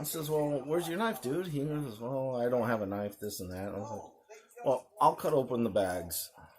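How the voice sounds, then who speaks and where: A quiet man's voice at medium pitch and moderate pace, lively in intonation, with big swings in loudness. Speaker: knife channel host. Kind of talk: casual vlog talk.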